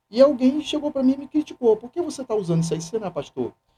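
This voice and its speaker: A man with a dark, mellow tone rushes along at a very fast pace, his pitch swinging very widely. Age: 60s. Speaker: seminarian and church youth coordinator. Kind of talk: casual interview chat.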